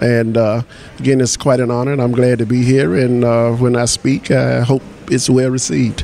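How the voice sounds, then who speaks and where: Noticeable background noise sits behind a man speaking at a moderate pace and medium pitch. His intonation is fairly even and his loudness very even. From US. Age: 60s. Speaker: artist. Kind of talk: interview. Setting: conference in Brazil. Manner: halting, many fillers.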